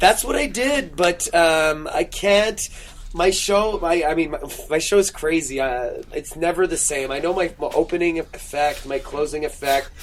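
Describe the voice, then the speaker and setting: Noticeable background noise sits under a man's high-pitched voice with ordinary pitch variation. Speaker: stage magician. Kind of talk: casual chat. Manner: fast.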